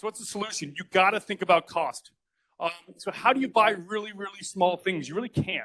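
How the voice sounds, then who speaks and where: The man has a bright, sharp tone and talks at a fairly quick pace. His sound is dry and close, with no echo. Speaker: startup founder presenting at tech event. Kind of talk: conference talk. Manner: fast; animated. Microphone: poor audio capture.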